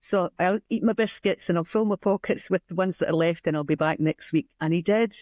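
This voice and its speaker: A woman with a Scottish accent speaks at a medium pitch with ordinary pitch variation and hardly any pauses. The sound is dry and close, with no echo. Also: fairly quick pace. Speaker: community weaving studio founder. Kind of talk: interview conversation. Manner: hesitant with fillers.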